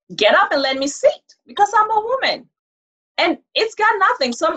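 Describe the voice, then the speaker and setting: A woman's extremely high pitch with very wide pitch swings. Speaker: podcast guest. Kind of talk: casual chat. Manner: soft-spoken.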